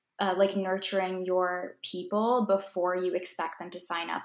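A woman with a Canadian accent speaks at a medium pitch in a monotone, flat intonation. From Ontario, Canada. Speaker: holistic nutritionist and food blogger. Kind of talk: casual chat.

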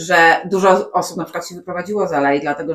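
Against noticeable background noise, a woman with a fairly low pitch speaks at a fairly quick pace with ordinary pitch variation. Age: 40s. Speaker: podcast co-host. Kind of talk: casual chat.

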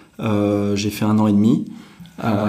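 Through noticeable background noise and audible room echo, a man speaks at a fairly low pitch. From France, Normandy (Deauville). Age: 40s. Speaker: startup executive. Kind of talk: interview. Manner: halting, many fillers.

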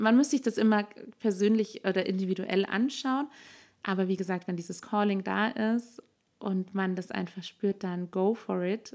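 At a moderate pace and medium pitch, a woman speaks in a normal speaking voice with ordinary pitch variation. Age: 20s. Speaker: doula and birth-preparation instructor. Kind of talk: interview.

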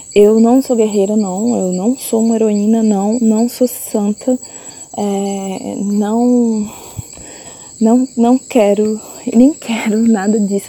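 At a very slow pace, a woman speaks with a fairly high pitch and fairly even intonation over noticeable background noise. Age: 30s. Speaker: visual artist. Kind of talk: personal testimony. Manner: halting, with repetitions.

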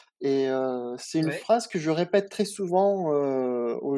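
The background is quiet. A man speaks in a fairly high pitch with a dark, mellow tone. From France, Nice. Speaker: chef. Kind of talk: interview. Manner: halting.

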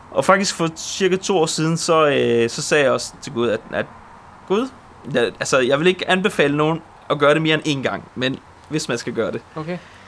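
Noticeable background noise runs behind a man's voice. His pitch is fairly high and his pace moderate. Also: ordinary pitch variation. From Poland, moved to Denmark at seven. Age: 30s. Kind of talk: testimony.

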